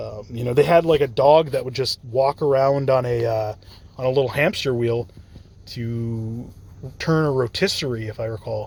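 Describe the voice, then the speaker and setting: A somewhat breathy male voice at a moderate pace, with ordinary pitch variation. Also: medium pitch for a man. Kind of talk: casual talk to camera, free-form lecture. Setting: parked car at night.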